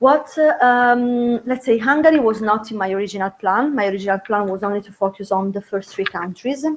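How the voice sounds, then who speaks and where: A woman speaks at a fairly high pitch and a fairly quick pace, with hardly any pauses. Her loudness swings widely while her pitch varies in an ordinary way. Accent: Italian. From Italy. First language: Italian. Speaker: doctoral researcher. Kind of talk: academic presentation. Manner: halting, many fillers.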